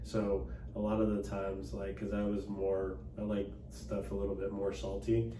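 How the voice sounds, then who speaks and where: Through audible room echo and noticeable background noise, a man at a fairly low pitch speaks at a moderate pace, his pitch swinging very widely. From Dallas, Texas. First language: Cantonese. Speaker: attorney and political candidate. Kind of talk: interview. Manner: casual, hesitant with fillers.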